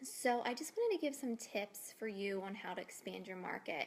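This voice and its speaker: A woman speaks in a soft-spoken manner. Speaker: fitness coach. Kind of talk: casual video tips.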